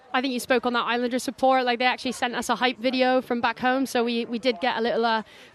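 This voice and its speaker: Very fast speech from a woman with a fairly high pitch comes through noticeable background noise. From Bristol, England, then Alberta, Canada. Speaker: rugby player and co-commentator. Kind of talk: sports co-commentary.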